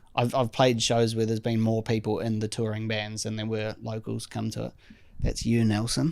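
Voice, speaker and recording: A man with a New Zealand accent, medium in pitch, at a moderate pace in a monotone, flat delivery. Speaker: drummer. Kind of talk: casual chat.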